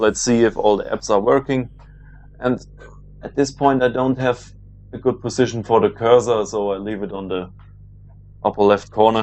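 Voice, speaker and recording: A man speaks in a German accent with ordinary pitch variation. His pauses are long and frequent. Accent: German accent, trying to reduce it. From Germany. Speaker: sim racing video creator. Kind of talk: gameplay commentary. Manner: hesitant, many fillers.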